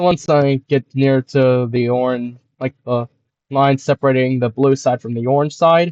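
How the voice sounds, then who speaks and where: With a plain, everyday voice, a man speaks at medium pitch and a moderate pace, his intonation fairly even. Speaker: gaming YouTuber. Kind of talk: gameplay commentary. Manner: casual, filler-heavy ('like').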